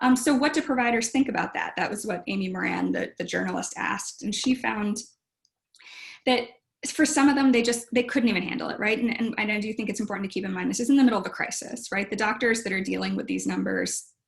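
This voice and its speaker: A woman with a fairly high pitch, ordinary pitch variation and a very fast pace. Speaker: historian of medicine. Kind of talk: lecture.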